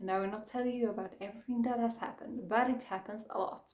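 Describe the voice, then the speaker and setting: A woman with a Swedish accent speaks at a fairly high pitch with ordinary pitch variation. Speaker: book vlogger. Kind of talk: casual chat.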